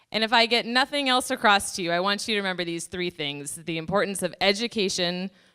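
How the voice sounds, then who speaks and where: Loud, bright and sharp in tone, a woman at medium pitch speaks at a very fast pace with ordinary pitch variation and hardly any pauses, on a very clean recording with a silent background. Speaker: pollution prevention inspector presenting at a conference. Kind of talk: conference presentation. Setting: conference room with audience, using microphone.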